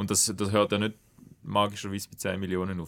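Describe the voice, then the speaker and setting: A man on a very clean recording, silent background. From Switzerland, Schaffhausen. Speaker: podcast host. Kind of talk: podcast interview.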